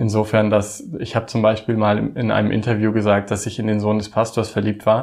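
With a medium pitch, the man's speech runs at a fairly quick pace. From Osnabrück region, Lower Saxony, Germany. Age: 30s. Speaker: drag queen, former church employee. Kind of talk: interview.

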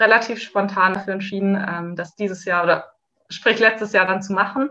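A woman's medium-pitched voice with a bright, sharp tone and fairly even intonation. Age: 20s. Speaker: café worker, retreat participant. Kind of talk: personal testimony.

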